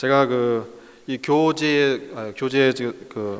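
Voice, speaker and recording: A man talks at a medium pitch. The variation in his pitch is ordinary. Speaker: pastor, guest lecturer. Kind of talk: lecture. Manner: slow, deliberate; hesitant, many fillers.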